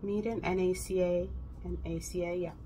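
A woman at a fairly slow pace with light background noise. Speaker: vlogger. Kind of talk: casual vlog chat. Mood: venting about a hectic day. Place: kitchen. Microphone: phone near.

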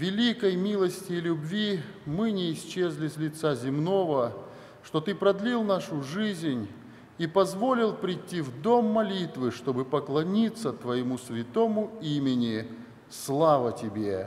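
This man speaks at a very slow pace. His high pitch makes very wide swings. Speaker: church minister leading prayer. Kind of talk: spoken prayer. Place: church. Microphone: podium.

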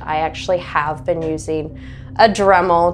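Music plays in the background as a woman speaks at a fairly slow pace in a very deep, low pitch. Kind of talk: interview answer. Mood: cheerful, laughing often. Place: home room. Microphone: lapel.

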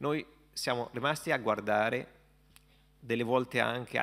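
A bright, sharp voice in an Arabic accent, with ordinary pitch variation and a quiet background. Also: man. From Palestine. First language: Arabic (speaking Italian). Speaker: imam. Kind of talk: panel discussion. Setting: stage with audience. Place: hall. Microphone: podium.

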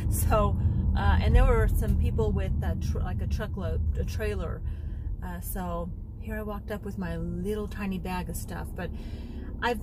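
Over loud background noise, a woman speaks at a moderate pace with long, frequent pauses, the sound dry with no echo. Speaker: lifestyle vlogger. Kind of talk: casual vlog chat. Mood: relaxed, chatty. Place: car. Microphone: phone near.

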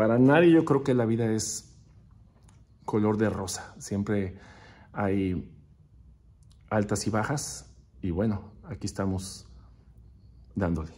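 A man speaks very slowly, with long, frequent pauses. His fairly low voice has a dark, mellow tone and lively intonation. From northern Mexico, Ciudad Juárez (border with El Paso); northern Mexico. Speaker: percussionist; interviewee. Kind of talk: recorded video interview answering questions. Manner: hesitant, with fillers. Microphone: phone near.

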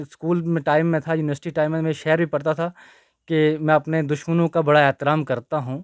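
Speaking at a moderate pace, a man uses a fairly high pitch and monotone, flat intonation. The sound is dry with no echo, over a quiet background. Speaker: advocate and petitioner; interviewee. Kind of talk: news interview. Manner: hesitant at first, improving. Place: office. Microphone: handheld.

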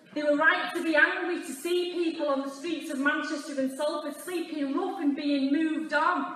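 A woman talks at a moderate pace and high pitch with ordinary pitch variation. Audible room echo surrounds her voice. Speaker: politician at rally. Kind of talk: political speech.

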